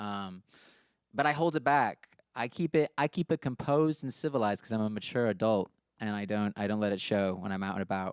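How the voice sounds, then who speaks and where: With an American accent, a man talks at a fairly quick pace with lively intonation. The recording is very clean with a silent background and a dry, close sound with no echo. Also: fairly low pitch for a man. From US, with much time in the UK. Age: 20s. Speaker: musician. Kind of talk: casual talk about his song lyrics. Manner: casual, many fillers and restarts.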